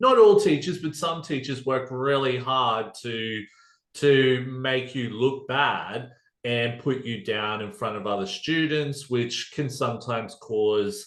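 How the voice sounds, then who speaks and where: The pace is very slow. A man talks with a strong Australian accent. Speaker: podcast guest sharing recovery story. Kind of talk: casual interview chat. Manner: halting, many fillers.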